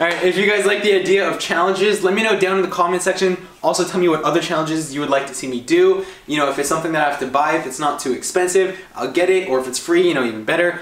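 In a room with audible echo, a man talks at a very fast pace in a high pitch. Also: ordinary pitch variation. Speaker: vlogger. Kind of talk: casual vlog chat. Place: kitchen. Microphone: camera far.

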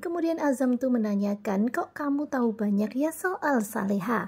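Animated and enthusiastic, a high-pitched woman speaks at a moderate pace. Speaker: soap opera recapper vlogger. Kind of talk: casual recap of a soap-opera trailer, chatty narration over clips. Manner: animated, chatty, enthusiastic commentary; addresses viewers directly, tells plot in sequence.

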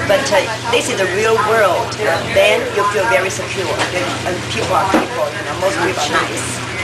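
A woman talks at a moderate pace. Loud background noise runs behind her. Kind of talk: interview answer. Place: cafe. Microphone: phone near.

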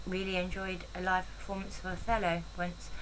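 Moderate pace and little pitch movement. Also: woman.

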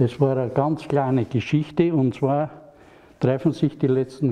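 Over a quiet background, a man speaks with a strong Franconian accent at a very slow pace. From Franconia, Germany. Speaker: porcelain painter. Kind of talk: casual talk at a handover. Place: hall.

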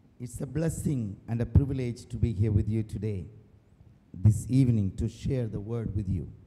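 A man's somewhat breathy, medium-pitched voice at a moderate pace, with ordinary pitch variation. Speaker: priest. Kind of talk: sermon.

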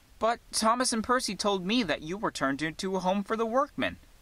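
Here a man does a put-on character voice at a high pitch. He moves at a fairly quick pace. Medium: read story.

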